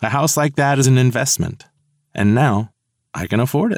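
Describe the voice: Pitch varies in an ordinary way. It is plain reading aloud over a quiet background.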